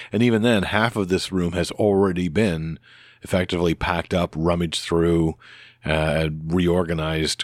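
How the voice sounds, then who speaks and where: A man with very deep, low pitch speaks at a moderate pace with fairly even intonation and very even loudness, in a very clean recording with a silent background and a dry, close sound with no echo. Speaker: podcast host. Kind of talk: solo casual podcast monologue. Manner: rambling, hesitant, with many fillers.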